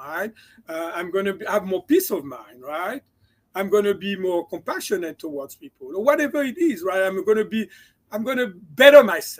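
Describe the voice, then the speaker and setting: With a slight French accent, a man talks at a moderate pace in a high pitch. His intonation is lively, and his loudness swings a lot. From France. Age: 60s. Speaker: chiropractor and mindset coach. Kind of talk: interview.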